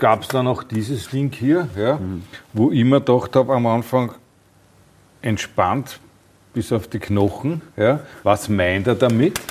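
A man talks at a very slow pace with long, frequent pauses. His pitch variation is ordinary. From Austria. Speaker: podcast host. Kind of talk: interview.

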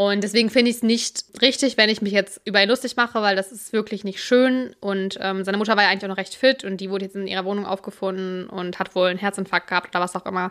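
Her pace is very fast, with hardly any pauses. The woman's medium-pitched voice keeps a fairly even intonation. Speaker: podcast co-host. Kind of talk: casual chat.

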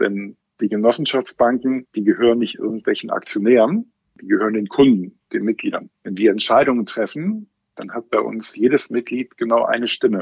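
Man at a moderate pace with big swings in loudness. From Germany, Westerwald. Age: 40s. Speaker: bank brand strategy manager. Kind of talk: casual interview.

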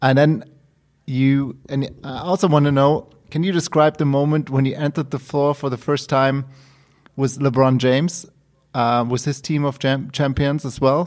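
A man with a German accent speaks at a fairly high pitch with fairly even intonation. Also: moderate pace. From Cologne, Germany. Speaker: co-host, sports fan. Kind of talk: interview. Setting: video call.

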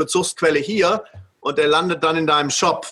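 Bright and sharp in tone, a man's voice sits at a high pitch. He talks at a fairly quick pace. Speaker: storytelling and marketing expert. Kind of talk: interview. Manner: animated.

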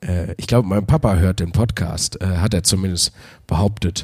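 A man with a very deep, low pitch speaks at a moderate pace. His voice is somewhat breathy, with ordinary pitch variation. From Wuppertal, Germany. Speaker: comedian and podcast host. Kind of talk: casual podcast monologue. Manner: hesitant, many filler sounds.

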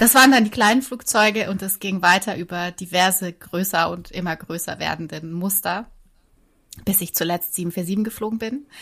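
A woman speaks at medium pitch and a moderate pace with ordinary pitch variation and a bright, sharp tone. Her loudness swings widely on a very clean recording with a silent background. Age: 40s. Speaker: former airline pilot and yoga teacher. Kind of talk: casual interview chat. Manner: halting, with repetitions.

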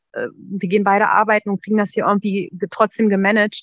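Flat intonation keeps the speech monotone. The words come at a fairly quick pace. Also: woman. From northern Germany, near Braunschweig. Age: 30s. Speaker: former coaching client, secretary. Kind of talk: interview testimony. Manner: hesitant, many fillers.

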